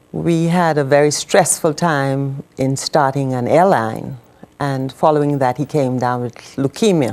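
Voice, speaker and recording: A woman speaks with a very deep, low pitch. Her pitch varies in an ordinary way, and her pace is fairly slow. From Bahamas. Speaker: widow of a medical missionary, former nurse. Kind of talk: TV interview testimony.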